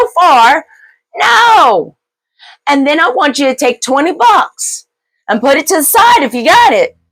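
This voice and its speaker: A woman speaks loudly and at a fairly slow pace. Her tone is animated and her intonation lively. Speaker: political commentary vlogger. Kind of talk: political rant. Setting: studio.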